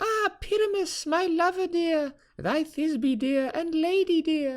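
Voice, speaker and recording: An extremely high put-on character voice at a fairly slow pace. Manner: theatrical, exaggerated.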